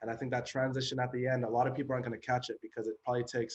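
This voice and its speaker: A man speaks very fast, somewhat breathy, in a monotone, flat delivery. The sound is dry and close, with no echo. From western Canada (Chilliwack, British Columbia). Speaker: rapper. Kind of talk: interview. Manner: casual, many fillers.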